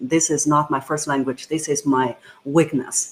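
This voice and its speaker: A woman with a Chinese accent. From China. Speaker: voice coach. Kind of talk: interview.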